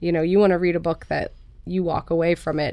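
A woman speaks with vocal fry at a fairly low pitch. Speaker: author and mother. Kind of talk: casual interview chat.

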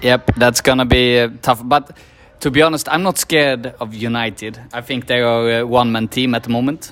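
With a Swedish accent, a man talks at medium pitch and a moderate pace, his intonation fairly even, while music plays in the background. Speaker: podcast host. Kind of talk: casual chat. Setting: pub before a match.

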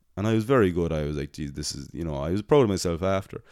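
Against a very clean recording with a silent background, a man with a very deep, low pitch speaks at a very fast pace. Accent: Irish. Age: 20s. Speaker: podcast host. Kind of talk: casual chat. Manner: animated.

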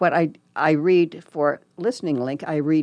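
Over a quiet background, a woman with a Midwestern US accent talks at a fairly low pitch with ordinary pitch variation. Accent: US Midwest. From Nebraska, Lincoln. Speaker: volunteer radio reader. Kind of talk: casual interview.

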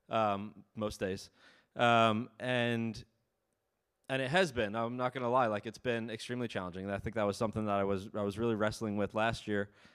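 With a plain, everyday voice, a man speaks at medium pitch and a fairly quick pace, his intonation fairly even, on a very clean recording with a silent background. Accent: American. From US Northeast, Ulster County, New York. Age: 30s. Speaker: missionary. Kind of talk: sermon. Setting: church. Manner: casual, many filler ums.

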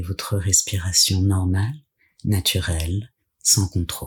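Somewhat breathy and soothing, calm in tone, a man speaks at a very slow pace and fairly low pitch with ordinary pitch variation. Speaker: yoga nidra guide. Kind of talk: guided meditation. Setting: solo recording, addressing listener lying down. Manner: slow, soothing, calm and gentle; hushed, measured, with long pauses.

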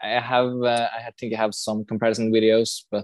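With a Norwegian accent, a man speaks at a fairly low pitch. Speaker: film location hunter. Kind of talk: casual chat. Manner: halting.

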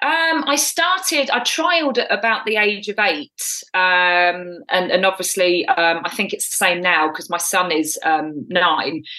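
With an English accent, a woman speaks at a fairly slow pace in a medium pitch, her tone bright and sharp and her intonation lively. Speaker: triathlete and coach. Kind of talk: interview.

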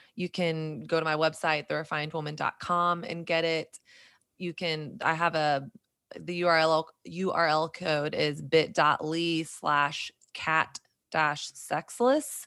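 Against a silent background on a very clean recording, a woman speaks very slowly with a very deep, low pitch, a bright, sharp tone and fairly even intonation. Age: 30s. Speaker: faith podcaster and speaker. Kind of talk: casual chat.

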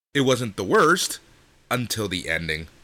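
Vocal fry runs through a man's bright, sharp voice as his pitch swings very widely. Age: 40s. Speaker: wrestling podcast host. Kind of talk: casual chat.

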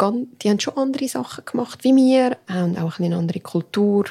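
With lively intonation, a somewhat breathy woman speaks at a moderate pace in a medium pitch, and the sound is dry and close with no echo. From Canton Aargau, Switzerland, Portuguese family. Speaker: podcast co-host. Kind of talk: casual chat. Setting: home kitchen.

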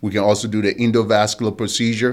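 A man's fairly low, monotone voice at a fairly quick pace. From Liberia. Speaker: vascular surgeon. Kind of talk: radio interview.

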